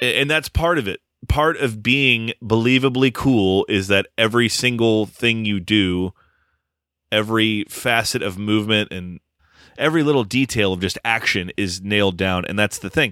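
Speaking at a moderate pace, a man has an unremarkable speaking voice, fairly low in pitch with ordinary pitch variation. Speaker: podcast host. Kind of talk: casual podcast chat.

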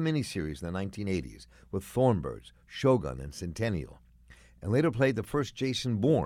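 A man talks in an American accent at a fairly quick pace with a fairly low pitch. His voice shows vocal fry and very wide pitch swings. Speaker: radio host. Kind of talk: radio interview. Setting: studio.

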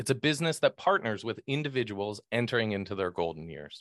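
A man with an ordinary speaking voice talks at a medium pitch and a moderate pace, with lively intonation. The sound is dry and close with no echo, and the background is quiet. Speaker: podcast host and financial advisor. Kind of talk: casual interview chat.

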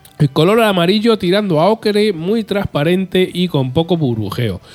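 Speaking at a moderate pace, a man uses lively intonation at a high pitch. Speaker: beer podcast host. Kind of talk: beer tasting notes. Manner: animated.

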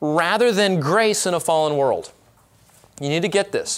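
Speaking with an American accent, a man has a high pitch. His intonation is lively. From Southern California, Orange County. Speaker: pastor. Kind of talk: conference workshop teaching. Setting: live workshop with audience.

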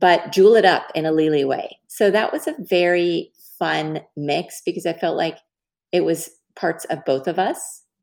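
A woman with an American accent talks at a fairly low pitch in an ordinary speaking voice. The recording is very clean, with a silent background. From Texas, Dallas. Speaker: fashion accessories designer and entrepreneur. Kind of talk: interview. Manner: casual, with filler words.

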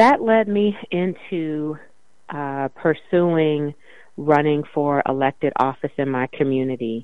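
A woman with an American accent speaks at a very slow pace, her pitch very deep and low, with ordinary pitch variation. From US Midwest, Evanston, Illinois. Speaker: city council member. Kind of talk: interview.

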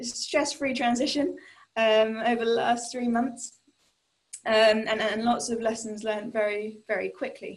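The speaker uses a British accent and talks at a fairly slow pace. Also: woman. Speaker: tech company CEO. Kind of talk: panel discussion. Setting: online call on laptop.

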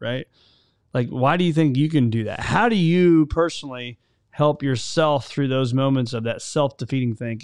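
A man's normal speaking voice, fairly high in pitch, with ordinary pitch variation and a moderate pace against a quiet background. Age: 40s. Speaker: podcast host. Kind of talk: casual interview.

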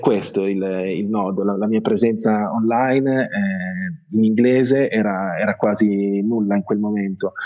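In a fairly low voice, a man speaks at a fairly slow pace. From Italy, Bologna. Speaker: journalist and travel blogger. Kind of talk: interview. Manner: halting.

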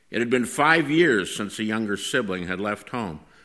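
An unforced reading voice with lively intonation

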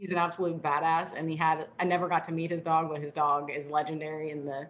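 At a very fast pace, a woman talks in a very deep, low pitch with a monotone, flat intonation. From South Jersey. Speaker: former police dog handler, dog trainer. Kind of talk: interview.

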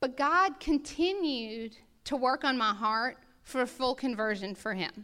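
A woman with an American accent, high-pitched, in a raised, projected voice with a bright, sharp tone and lively intonation, at a fairly slow pace, in a very clean recording with a silent background. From US South, New Orleans. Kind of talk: testimony.

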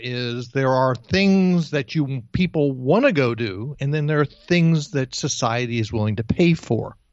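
A man with an American accent, a plain, everyday voice, fairly high pitch, ordinary pitch variation and a fairly slow pace. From New Jersey. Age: 60s. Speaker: career coach. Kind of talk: interview.

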